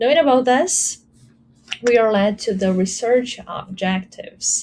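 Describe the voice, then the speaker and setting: Speaking at a moderate pace in a Portuguese accent, a woman has a fairly high, dark, mellow voice with lively intonation. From Brazil. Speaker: academic researcher presenting a paper. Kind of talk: conference presentation. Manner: some hesitations and fillers.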